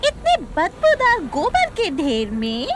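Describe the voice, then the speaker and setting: Over clear background noise, a put-on character voice squeaks at an extremely high pitch with very wide pitch swings. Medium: fan dub. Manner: mocking, cynical.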